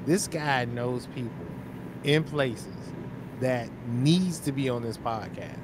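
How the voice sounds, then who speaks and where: A man talks at a very slow pace with long, frequent pauses, the sound dry with no echo and noticeable background noise. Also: ordinary pitch variation. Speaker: podcast host. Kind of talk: casual chat. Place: home room. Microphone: studio mic.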